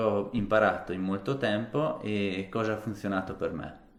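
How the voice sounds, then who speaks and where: Audible room echo surrounds a man with a fairly low pitch. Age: 30s. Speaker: fitness vlogger. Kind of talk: casual vlog monologue to camera. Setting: alone talking to camera.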